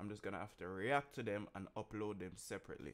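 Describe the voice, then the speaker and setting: At a moderate pace, a man talks. His pitch is fairly low. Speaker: streamer reacting to music. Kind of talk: casual vlog chat. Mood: annoyed but joking. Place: home room. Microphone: studio mic.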